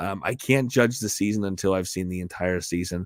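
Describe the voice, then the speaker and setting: A man talks at a fairly quick pace. The recording is very clean with a silent background, and the sound is dry and close with no echo. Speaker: gaming livestreamer. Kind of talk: casual livestream commentary. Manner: halting, many fillers and repeats.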